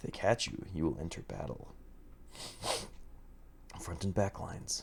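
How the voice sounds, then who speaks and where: Soft-spoken and at a fairly slow pace, a man talks with vocal fry and very wide pitch swings. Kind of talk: ASMR manual reading.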